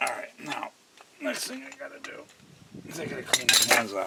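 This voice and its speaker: Amid noticeable background noise, a man mumbles. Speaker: DIY car repair presenter. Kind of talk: tutorial. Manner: mumbling; casual, thinking aloud.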